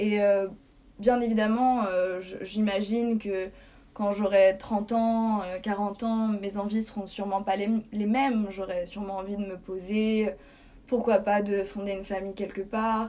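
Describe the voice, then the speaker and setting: The voice has a dark, mellow tone and monotone, flat intonation. Its pace is very slow. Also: woman, medium pitch for a woman. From France, Paris. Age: 20s. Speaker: student expat. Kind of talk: casual interview.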